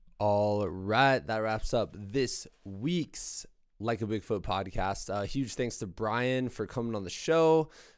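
In a very clean recording with a silent background, a man with a fairly low pitch talks at a very slow pace with ordinary pitch variation. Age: 30s. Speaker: podcast host. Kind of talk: casual chat; scripted narration.

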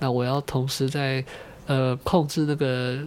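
A man delivers his words in a monotone, flat way at a medium pitch. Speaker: radio show host. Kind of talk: casual solo radio talk.

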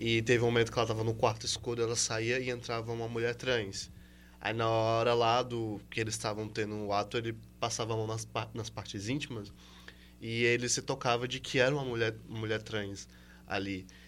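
A man's medium-pitched voice, flat and monotone, at a fairly quick pace. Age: 20s. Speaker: podcast co-host. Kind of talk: casual chat.

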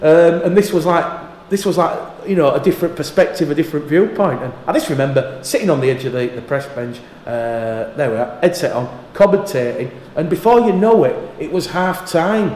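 Amid noticeable background noise, a man with a Yorkshire accent speaks at a high pitch and moderate pace with lively intonation. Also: hardly any pauses. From Yorkshire, northern England. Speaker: rugby league radio commentator. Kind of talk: casual interview chat.

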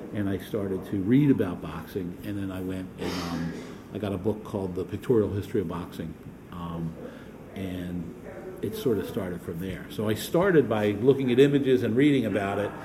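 A man speaks in an American accent with a fairly low pitch. There is audible room echo. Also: ordinary pitch variation. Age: 50s. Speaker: boxing historian. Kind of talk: interview. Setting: boxing gym. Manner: halting, many fillers.

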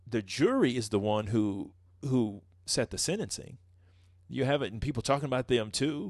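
A man speaks at medium pitch and a moderate pace against a quiet background. He has an unremarkable speaking voice. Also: ordinary pitch variation. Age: 40s. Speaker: pastor and podcast co-host. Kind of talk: casual chat.

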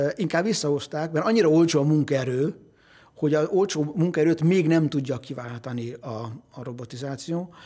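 This voice is an ordinary speaking voice, moving at a moderate pace with ordinary pitch variation. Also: man. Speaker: economist. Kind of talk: interview. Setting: studio.

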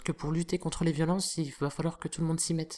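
In a very clean recording with a silent background, a woman speaks at a fairly low pitch in a dark, mellow tone. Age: 30s. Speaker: slam poet and activist. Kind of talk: interview.

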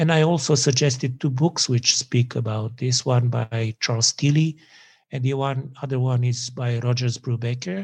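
A man with a Serbian accent speaks at a medium pitch in a somewhat breathy voice. The recording is very clean and the background silent. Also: fairly even intonation, moderate pace. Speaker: sociology professor. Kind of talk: academic interview.

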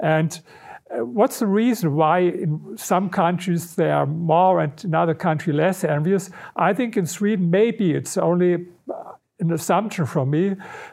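A man with a German accent speaks at a fairly slow pace and a high pitch. His pitch varies in an ordinary way, and his loudness stays very even. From Germany, Berlin. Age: 60s. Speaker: researcher and author. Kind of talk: interview.

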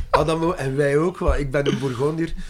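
Speaking in a French accent, a man keeps a moderate pace with ordinary pitch variation. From Brussels, Belgium. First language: French (speaking Dutch). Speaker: singer. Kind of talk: interview.

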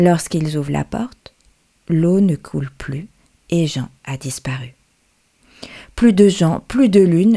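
A woman speaks at a very slow pace, her pitch fairly low. Her tone is gentle and soothing, dark and mellow. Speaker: storyteller who reads her own tale. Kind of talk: bedtime story, told aloud. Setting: radio show. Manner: gentle, slow and soothing, with a soft storytelling cadence; repetitive, lulling phrasing with a fairy-tale rhythm.

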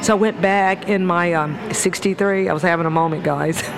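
A woman with an American accent, animated in tone, at a moderate pace, with ordinary pitch variation and music in the background. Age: 60s. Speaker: motivational speaker and teacher. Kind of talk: casual interview. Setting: coffee shop.

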